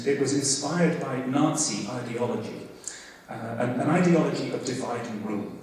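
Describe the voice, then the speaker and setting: Over noticeable background noise, a man talks at a moderate pace. Audible room echo surrounds his voice. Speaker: professor. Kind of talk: lecture. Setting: stage with audience. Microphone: microphone problems.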